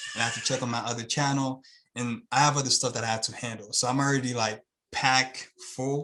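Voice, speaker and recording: At a very fast pace, a man with a Haitian accent speaks at a medium pitch in a monotone, flat intonation. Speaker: YouTube channel owner. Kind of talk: interview.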